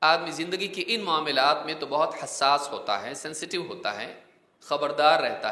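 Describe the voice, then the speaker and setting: A man uses a normal speaking voice, pitched fairly high, with ordinary pitch variation. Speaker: Islamic preacher giving a Ramadan lecture. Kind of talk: Islamic sermon (bayan) delivered to an audience.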